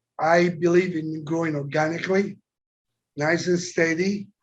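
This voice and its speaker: Speaking with a strong Italian accent, a man uses a high pitch in a flat monotone at a fairly slow pace. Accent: heavy Italian. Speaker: company chairman. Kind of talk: interview.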